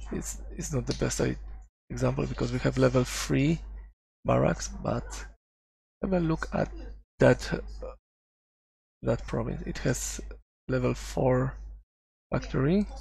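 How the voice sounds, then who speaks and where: With vocal fry and a very deep, low pitch, a man speaks in fairly even intonation, leaving long, frequent pauses. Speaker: strategy game youtuber. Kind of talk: gameplay commentary tutorial. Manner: thinking aloud, halting.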